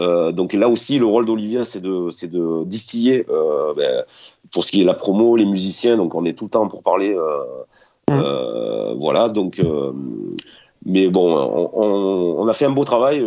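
In an ordinary speaking voice, a man speaks at a fairly slow pace with fairly low pitch and lively intonation. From Toulon, southern France. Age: 40s. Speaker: guitarist. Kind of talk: interview.

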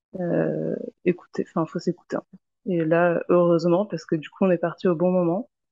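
Her voice a dark, mellow tone at a fairly low pitch, a woman speaks in a monotone, flat intonation, the sound dry and close with no echo. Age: 30s. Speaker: mother sharing birth experience. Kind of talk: testimony.

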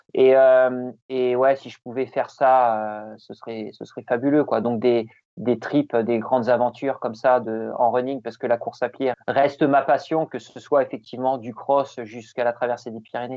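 A man talks at a moderate pace and medium pitch, with hardly any pauses. His intonation is flat and monotone, though his loudness swings widely. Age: 40s. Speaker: ultra-trail runner. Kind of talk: interview. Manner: hesitant, many repetitions.

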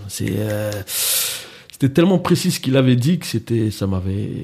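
Somewhat breathy, a man's voice sits fairly low with a dark, mellow tone. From France, Mantes-la-Jolie (Paris suburbs). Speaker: entrepreneur and event organiser. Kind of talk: casual interview.

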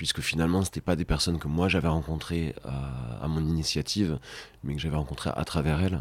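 A man with a very deep, low pitch, ordinary pitch variation and a slight southwestern French accent. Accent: slight southwestern French accent (Gers). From Brittany, Rennes. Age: 30s. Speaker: podcast guest, father of three. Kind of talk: intimate interview conversation. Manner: halting, frequent repetitions.

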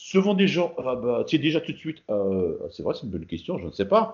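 At a fairly quick pace, a man speaks in a fairly high voice with vocal fry and very wide pitch swings. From Paris, France, Moroccan heritage. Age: 40s. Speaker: bodybuilder. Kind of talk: casual interview.

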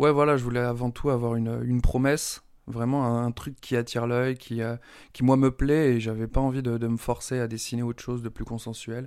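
A man's medium-pitched voice, monotone and flat, at a fairly quick pace. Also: very clean recording, silent background. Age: 30s. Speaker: comic book author. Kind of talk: interview. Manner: halting, many repetitions.

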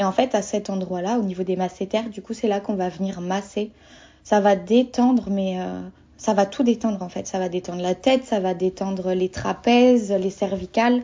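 At a moderate pace, a woman speaks in a medium pitch with fairly even intonation and an unremarkable speaking voice. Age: 20s. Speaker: doula and naturopath. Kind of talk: interview.

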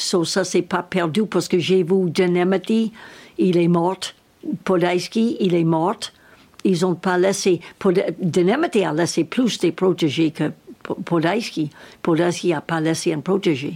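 With an English accent, a woman of fairly low pitch talks at a very slow pace with fairly even intonation. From United States. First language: English (speaking French). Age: 80s+. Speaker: equestrian trainer. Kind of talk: interview. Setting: at her home. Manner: halting.

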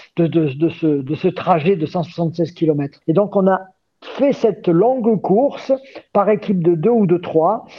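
With usual pitch movement, a man talks in a high register. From France, Hautes-Alpes (Gap). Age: 60s. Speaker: journalist and trail race organizer. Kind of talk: interview. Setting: remote call.

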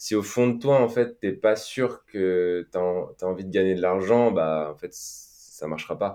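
A dark, mellow tone comes at a fairly slow pace with hardly any pauses and ordinary pitch variation, on a very clean recording with a silent background. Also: man, fairly low pitch for a man. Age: 30s. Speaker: financial independence podcaster, former engineer. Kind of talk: casual interview.

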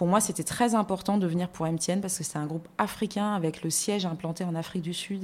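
A woman with a plain, everyday voice. She talks at a moderate pace with ordinary pitch variation. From France. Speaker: magazine editorial director and TV columnist. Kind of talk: casual interview.

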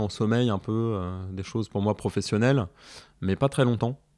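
This man's voice sits fairly low, with ordinary movement in pitch. The recording is very clean, and the background is silent. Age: 40s. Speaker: father and artist. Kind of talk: casual chat. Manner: halting, many fillers and repetitions.

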